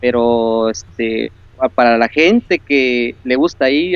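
A man speaks with lively intonation. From Córdoba, Veracruz, Mexico. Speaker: video game fan caller. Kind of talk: casual chat. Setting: Skype call.

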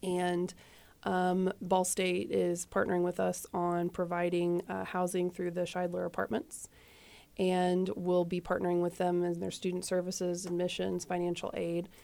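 A fairly low female voice with an American accent, moderately paced and flat in intonation, in a very clean recording with a silent background. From US Midwest, Indiana. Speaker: nonprofit deputy director. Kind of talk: radio interview. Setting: studio.

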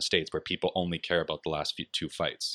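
In a Canadian accent, a man with a very deep, low voice speaks very fast in a flat monotone, recorded dry and close with no echo. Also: quiet background. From London, Ontario, Canada. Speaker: accountant and combat sports hobbyist. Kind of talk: casual chat. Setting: outdoors on a balcony.

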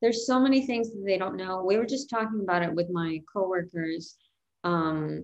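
A woman with an American accent speaks in an ordinary speaking voice, fairly low in pitch. Her pace is moderate and her pitch variation ordinary. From New York City. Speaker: comedian. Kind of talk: casual chat.

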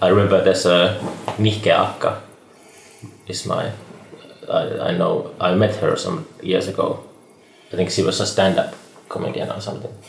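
Pausing long and often, a man with a Finnish accent speaks at a moderate pace against noticeable background noise. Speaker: podcast host. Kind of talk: casual chat.

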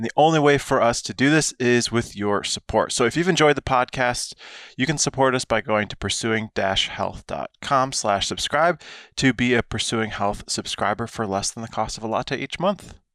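Against a quiet background, a man with a normal speaking voice talks at a moderate pace with medium pitch and ordinary pitch variation, the sound dry and close with no echo. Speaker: physician podcast co-host. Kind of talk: educational podcast.

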